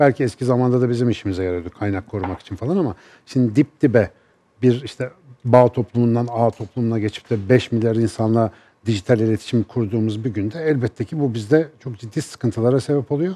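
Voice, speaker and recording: A man's dark, mellow tone at a very fast pace. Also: medium pitch for a man, ordinary pitch variation. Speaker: neuroscience professor. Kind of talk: TV panel discussion. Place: studio. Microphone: headset.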